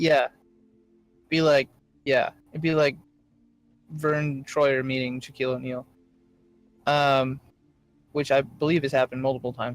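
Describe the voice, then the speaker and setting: A fairly high-pitched man talks at a moderate pace in a monotone, flat intonation, with long, frequent pauses. Music plays in the background. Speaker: game master. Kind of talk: tabletop roleplaying narration. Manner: halting, many filler words.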